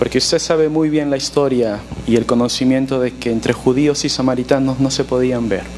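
Against noticeable background noise, a man talks at a very fast pace, medium in pitch, his intonation fairly even. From Peru. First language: Spanish. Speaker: pastor. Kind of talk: sermon.

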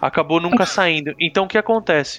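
With a bright, sharp tone, a man speaks with ordinary pitch variation in a dry, close sound with no echo. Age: 30s. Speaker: video game podcast guest. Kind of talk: casual chat.

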